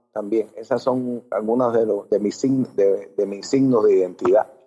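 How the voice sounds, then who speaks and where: In a Cuban accent, the voice has a dark, mellow tone. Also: man. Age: 50s. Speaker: teacher and activist. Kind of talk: interview. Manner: halting.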